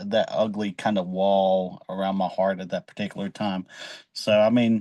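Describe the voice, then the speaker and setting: In an Appalachian accent, a man speaks at a fairly low pitch with a dark, mellow tone, monotone, flat intonation and big swings in loudness, in a dry, close sound with no echo against a quiet background. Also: moderate pace. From West Virginia. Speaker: podcast host. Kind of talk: casual chat.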